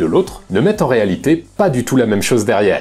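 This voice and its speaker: Noticeable background noise is present. A man speaks fairly quickly, his pitch swinging very widely. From France. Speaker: YouTube personal development essayist. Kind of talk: scripted video essay narration. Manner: casual, conversational.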